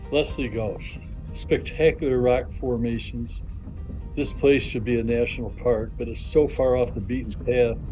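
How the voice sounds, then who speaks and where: A man talks at a moderate speed. Behind him, music plays. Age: 80s+. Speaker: hiker, war veteran. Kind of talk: casual hiking video narration. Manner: enthusiastic, informal.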